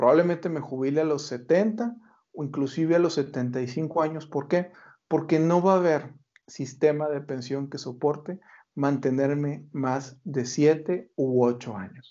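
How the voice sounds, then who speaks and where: At a very slow pace, a man speaks with fairly high pitch and ordinary pitch variation. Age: 40s. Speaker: retirement finance expert and author. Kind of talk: interview.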